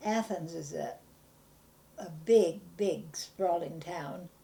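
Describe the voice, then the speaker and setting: Using a dark, mellow tone with vocal fry, a woman with a Pacific Northwest accent speaks with fairly even intonation. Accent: American, Pacific Northwest. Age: 80s+. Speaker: elderly local resident interviewed about town history. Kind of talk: oral history interview. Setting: at home. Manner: halting, many hesitations.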